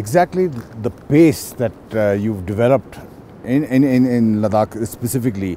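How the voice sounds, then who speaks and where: Lively intonation runs through this man's speech at a moderate pace. The sound is dry with no echo, over light background noise. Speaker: defence journalist. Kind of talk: interview. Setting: outdoors. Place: open country.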